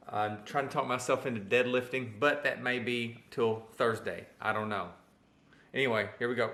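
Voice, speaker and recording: The speaker has a Southern US accent and a moderate pace. The intonation stays fairly even. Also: man, medium pitch for a man. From Arkansas. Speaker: personal trainer. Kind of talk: casual vlog talk to camera.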